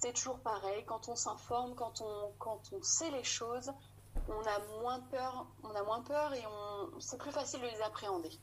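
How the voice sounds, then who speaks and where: A woman with a fairly high pitch, ordinary pitch variation and a fairly slow pace, over noticeable background noise. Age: 30s. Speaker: mother sharing birth story. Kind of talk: testimony.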